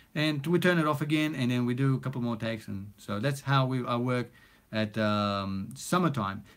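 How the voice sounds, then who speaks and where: With a non-native accent, the speaker keeps a moderate pace and ordinary pitch variation. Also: man, medium pitch for a man. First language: not English. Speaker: recording studio owner and music producer. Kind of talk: live stream chat. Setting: home recording studio. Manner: casual, many fillers.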